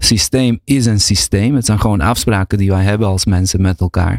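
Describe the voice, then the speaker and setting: A man has a plain, everyday voice with ordinary pitch variation and a fairly slow pace. The recording is very clean, with a silent background, and a dry, close sound with no echo. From Bosnia (former Yugoslavia). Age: 40s. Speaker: researcher and lecturer. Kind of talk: casual chat. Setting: studio.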